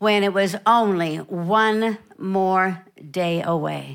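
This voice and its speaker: A woman's voice at medium pitch, bright and sharp yet warm in tone, at a very slow pace on a very clean recording with a silent background. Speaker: visiting preacher. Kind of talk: sermon, preached in English with line-by-line German interpretation. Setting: church with interpreter. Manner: warm, fervent, encouraging; paced in short phrases for the interpreter.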